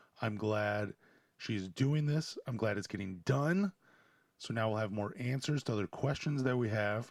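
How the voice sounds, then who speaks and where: A man speaks quietly at a moderate pace. His pitch is medium, with ordinary variation. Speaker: sports podcast host. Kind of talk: solo podcast commentary. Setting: home.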